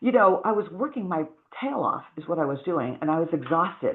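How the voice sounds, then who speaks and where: Her tone animated, a woman speaks at a medium pitch with very wide pitch swings. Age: 60s. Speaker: wellness products seller. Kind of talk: sales pitch. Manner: fast.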